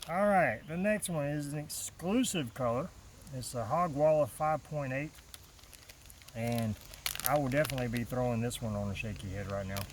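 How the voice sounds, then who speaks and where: A man in a medium pitch with lively intonation, a moderate pace and long, frequent pauses, over noticeable background noise. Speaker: fishing channel host. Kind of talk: product unboxing. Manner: casual, halting with fillers.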